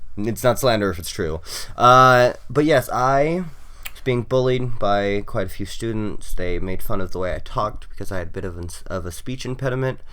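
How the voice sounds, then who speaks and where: With a Southwestern US accent, a man speaks at a moderate pace and medium pitch, his tone bright and sharp and his intonation lively. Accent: US Southwest American. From Arizona (Phoenix). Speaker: podcast co-host. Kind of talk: casual chat.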